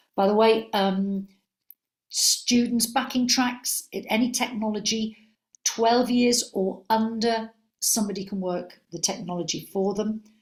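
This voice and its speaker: The speaker is a woman with a fairly high pitch. Her voice is somewhat breathy. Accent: Liverpool. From Liverpool, England. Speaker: senior music examiner. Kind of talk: webinar Q&A. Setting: online webinar. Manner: animated.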